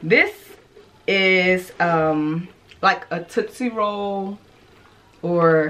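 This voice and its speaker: A bright, sharp tone marks this woman's voice. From Arkansas. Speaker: fashion YouTuber; fashion vlogger. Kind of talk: casual vlog. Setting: home closet. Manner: loud; animated. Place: home room.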